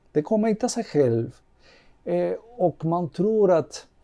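A man speaks in a Spanish accent at a moderate pace. His tone is dark and mellow. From Cuba. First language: Spanish (speaking Swedish). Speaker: manager. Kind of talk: casual chat.

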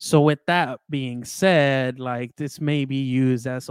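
An unremarkable speaking voice: a man of medium pitch with fairly even intonation, on a very clean recording with a silent background. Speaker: guest, film fan. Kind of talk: casual chat, movie review.

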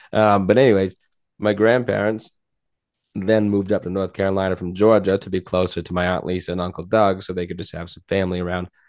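Over a quiet background, a man with a very deep, low pitch talks at a very fast pace in a monotone, flat intonation, his loudness swinging widely. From Maine, down east. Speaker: podcast co-host. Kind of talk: casual chat.

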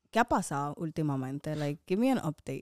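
Someone speaks with an American accent. The recording is very clean and dry, close with no echo and a silent background. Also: woman. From Dominican Republic and US. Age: 20s. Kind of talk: casual chat. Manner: talkative, laughing.

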